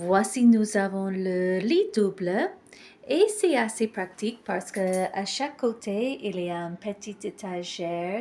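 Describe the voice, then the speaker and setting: A woman in an English accent, medium in pitch, at a very slow pace with ordinary pitch variation. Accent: English-speaking accent in French. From Ireland. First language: English (speaking French). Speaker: hotel reviewer vlogger. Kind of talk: vlog walkthrough review. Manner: occasional hesitations and self-corrections.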